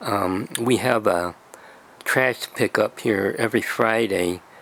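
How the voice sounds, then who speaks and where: Over noticeable background noise, a man speaks in a fairly low pitch with fairly even intonation. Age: 70s. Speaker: video blogger. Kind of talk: casual explainer video. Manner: halting, many fillers.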